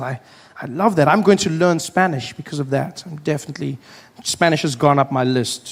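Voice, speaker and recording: With crowd noise in the background, a man with a South African accent speaks at a fairly high pitch using lively intonation. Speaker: stand-up comedian. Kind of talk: stand-up comedy set. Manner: casual, storytelling.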